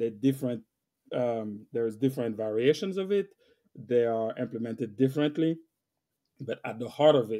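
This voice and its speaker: A man with a French accent speaks at a moderate pace with ordinary pitch variation. He leaves long, frequent pauses. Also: medium pitch for a man. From West Africa (Senegal). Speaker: IT solution architect. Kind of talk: interview conversation. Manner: hesitant with fillers and repeats.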